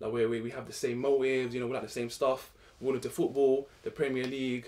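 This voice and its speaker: Monotone and flat, a man speaks very fast at a medium pitch with a London accent. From Morocco. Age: 20s. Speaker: podcast host. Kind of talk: casual chat.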